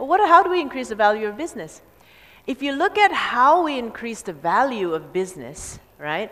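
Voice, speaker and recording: Speaking at a moderate pace, a woman with an American accent sounds animated. Her pitch swings very widely. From Indonesia, raised partly in the US. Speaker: business coach. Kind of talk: seminar talk.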